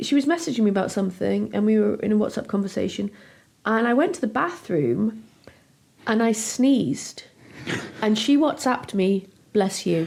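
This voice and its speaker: A woman speaks quietly at a moderate pace with a fairly high pitch, lively intonation, very even loudness, and long, frequent pauses. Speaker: podcast host. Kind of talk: casual chat. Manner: softer and quieter.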